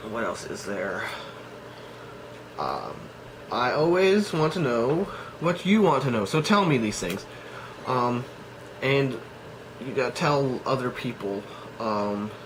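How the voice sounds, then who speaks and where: Through audible room echo and noticeable background noise, a man at medium pitch speaks with very wide pitch swings and long, frequent pauses. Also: fairly slow pace. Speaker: cosplay vlogger. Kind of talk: casual vlog monologue. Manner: halting, many fillers.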